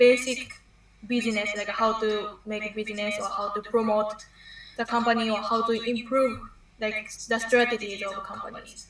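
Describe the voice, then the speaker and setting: A woman talks at a moderate pace in a fairly high, monotone voice, her loudness swinging widely. Noticeable background noise and audible room echo surround her. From Japan. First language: Japanese. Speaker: university student. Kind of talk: interview. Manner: halting.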